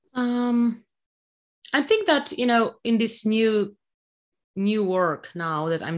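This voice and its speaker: A woman with a Polish accent and ordinary pitch variation. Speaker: technology executive. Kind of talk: interview. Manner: halting.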